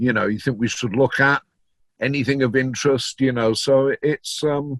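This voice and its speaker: With a Yorkshire accent, a man speaks at a moderate pace and medium pitch. His intonation is fairly even, and the sound is dry and close with no echo. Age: 60s. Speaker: DJ and record collector. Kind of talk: interview. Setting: video call.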